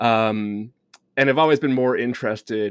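The sound is dry and close, with no echo. A man talks at a medium pitch. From England. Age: 40s. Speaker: podcast host. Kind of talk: casual chat.

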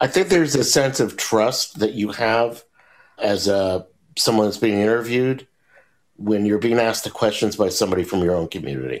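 Lively in intonation, a man talks at a fairly quick pace in a normal speaking voice. His pitch is fairly low. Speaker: documentary filmmaker. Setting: video call.

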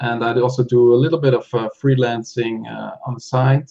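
This man has a medium pitch, a dark, mellow tone and a somewhat breathy voice, speaking at a moderate pace. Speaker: software tool creator and online seller. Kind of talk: casual interview. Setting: video call.

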